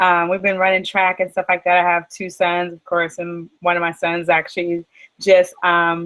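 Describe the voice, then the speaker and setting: Flat and monotone, a woman's fairly low voice moves at a moderate pace. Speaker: e-commerce entrepreneur. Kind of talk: interview.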